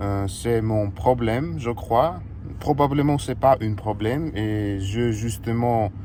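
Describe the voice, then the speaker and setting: A man with a Russian accent speaks at a very slow pace in a medium pitch, with ordinary pitch variation. There is noticeable background noise and audible room echo. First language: Russian (speaking French). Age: 20s. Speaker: fitness coach and vlogger. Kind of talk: casual vlog monologue. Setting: in a car. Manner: halting, many hesitations.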